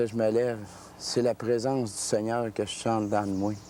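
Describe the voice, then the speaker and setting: Speaking at a moderate pace, a man uses a medium-pitched voice. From Quebec City, Quebec. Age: 30s. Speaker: ex-convict testifying. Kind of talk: testimony. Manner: halting.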